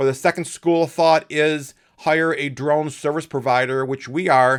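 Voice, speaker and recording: A man with a plain, everyday voice speaks at a moderate pace, his pitch fairly high and its variation ordinary. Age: 50s. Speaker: company owner giving presentation. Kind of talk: business presentation. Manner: casual, with fillers.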